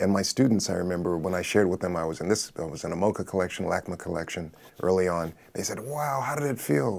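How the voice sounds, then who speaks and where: A man talks at a very fast pace in an American accent. His intonation is lively. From Los Angeles, US. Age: 60s. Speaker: artist and retired professor. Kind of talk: panel conversation.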